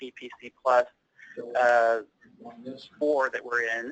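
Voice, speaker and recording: A bright, sharp tone in an East Tennessee accent at a moderate pace, with a dry, close sound and no echo. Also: man. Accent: Southern US (East Tennessee). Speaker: healthcare operations director and accountant. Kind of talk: presentation.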